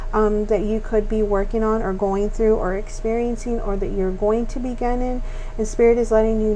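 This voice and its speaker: Over noticeable background noise and audible room echo, a woman talks at a fairly quick pace in a fairly high, monotone voice with flat intonation. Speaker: tarot reader. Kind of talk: tarot reading monologue. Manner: fast; hesitant, many fillers.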